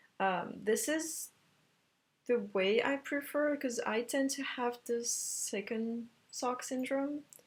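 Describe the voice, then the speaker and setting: On a very clean recording with a silent background, a woman with a French accent speaks very slowly at a fairly high pitch, with ordinary pitch variation. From France. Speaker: knitting podcaster. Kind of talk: casual podcast monologue. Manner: hesitant, many fillers.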